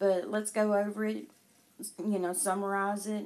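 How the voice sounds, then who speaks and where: A woman with a Southern US accent speaks at a medium pitch, her intonation fairly even. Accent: southern drawl. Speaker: conspiracy commentary YouTuber. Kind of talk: casual commentary with reading aloud. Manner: casual, halting with fillers.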